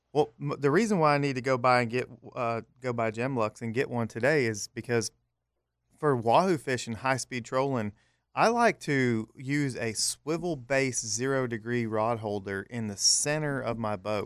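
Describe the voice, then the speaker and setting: A man with a normal speaking voice talks at a medium pitch and moderate pace with ordinary pitch variation, in a very clean recording with a silent background. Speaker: offshore fishing charter captain. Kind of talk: casual chat. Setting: studio.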